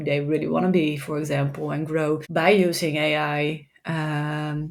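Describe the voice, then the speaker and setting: A woman with a Dutch accent, very deep, low pitch, monotone, flat intonation and a fairly slow pace. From Netherlands. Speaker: tech executive and AI consultant. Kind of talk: podcast interview. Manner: halting, many repetitions.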